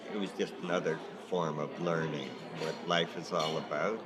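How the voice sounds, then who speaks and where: A man talks at a fairly slow pace with ordinary pitch variation. Room echo is audible, and background noise is noticeable. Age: 70s. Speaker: sign painter and artist. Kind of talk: documentary interview.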